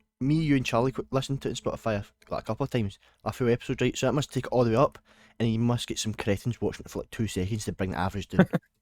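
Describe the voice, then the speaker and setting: A man with a Scottish accent speaks very fast at a medium pitch with ordinary pitch variation, recorded dry and close with no echo. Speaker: podcast co-host. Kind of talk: casual chat. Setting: online voice call.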